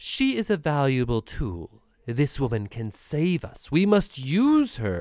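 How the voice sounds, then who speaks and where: A man does a put-on character voice, nasal and fairly high in pitch. He goes at a fairly slow pace with very wide pitch swings. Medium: read story. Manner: sharp, commanding.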